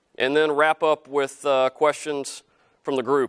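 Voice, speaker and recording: In a very clean recording with a silent background, a man with a Southern US accent is heard in dry, close sound with no echo. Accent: southern drawl. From US South (Helena, Arkansas). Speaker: company CEO. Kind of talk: guest lecture. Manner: casual, many fillers.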